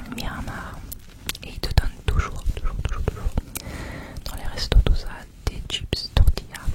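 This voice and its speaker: A woman whispers at a fairly slow pace, with noticeable background noise underneath. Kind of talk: ASMR travel vlog narration. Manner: whispered, soft.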